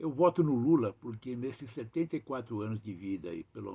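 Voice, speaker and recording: A man's fairly low, somewhat breathy voice, dark and mellow in tone, at a moderate pace with very wide pitch swings. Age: 70s. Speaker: political activist. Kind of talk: political statement.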